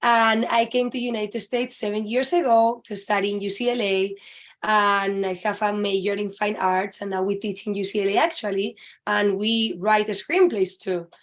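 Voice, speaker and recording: A woman with a Spanish accent speaks at a moderate pace. The background is quiet. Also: medium pitch for a woman, ordinary pitch variation. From Spain. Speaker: author. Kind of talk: casual interview chat.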